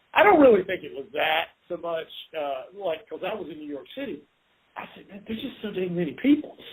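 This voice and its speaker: Speaking at a fairly quick pace in a Southern US accent, the voice swings very widely in pitch. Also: man, high pitch for a man, big swings in loudness. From US South. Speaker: podcast host, home inspector. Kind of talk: casual interview. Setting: podcast.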